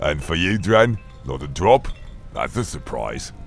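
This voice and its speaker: Over clear music in the background, a man does a gruff put-on character voice, very deep and low in pitch with very wide pitch swings, at a moderate pace. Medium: audio drama. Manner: gruff, mocking.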